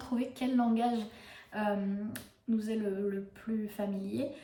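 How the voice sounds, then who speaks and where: Very slowly and somewhat breathily, a woman speaks at a fairly high pitch with fairly even intonation and audible room echo. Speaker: book reviewer and yoga youtuber. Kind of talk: casual book review monologue. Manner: hesitant, many fillers.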